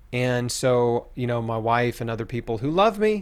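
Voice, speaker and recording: With an American accent, a man has a normal speaking voice, a medium pitch and a fairly slow pace. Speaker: cancer survivor and author. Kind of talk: testimony.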